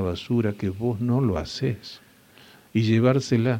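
Dark and mellow in tone, this voice holds to fairly even intonation. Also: man. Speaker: family business consultant and mind-training instructor. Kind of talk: interview.

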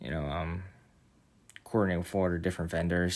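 A man's very deep, low voice, monotone and flat, at a very fast pace on a very clean recording with a silent background. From New York City, then Central New Jersey. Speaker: employee at a benefits company. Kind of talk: casual interview.

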